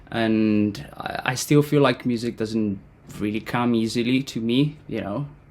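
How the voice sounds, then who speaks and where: Speaking with an Italian accent at a fairly slow pace, a man of medium pitch shows ordinary pitch variation over noticeable background noise. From Italy. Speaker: composer and educator. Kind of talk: interview.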